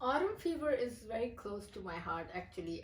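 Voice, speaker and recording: A somewhat breathy woman with a Pakistani accent. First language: Urdu. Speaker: poet. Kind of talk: interview. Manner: halting.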